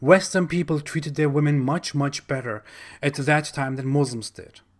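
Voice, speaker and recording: Here a man with a German accent speaks at a fairly high pitch with fairly even intonation and big swings in loudness. The recording is very clean, with a silent background. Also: moderate pace. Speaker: YouTuber, Islam critic. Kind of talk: commentary monologue.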